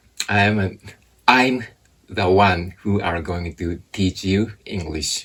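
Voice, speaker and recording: In a Japanese accent, a man speaks at a very slow pace. His pitch is very deep and low. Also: ordinary pitch variation. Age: 40s. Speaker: English teacher. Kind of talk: interview.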